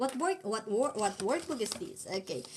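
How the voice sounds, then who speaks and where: Speaking with a Filipino accent, a woman sounds somewhat breathy. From Philippines. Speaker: language teacher. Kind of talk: live-stream tutorial. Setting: live stream.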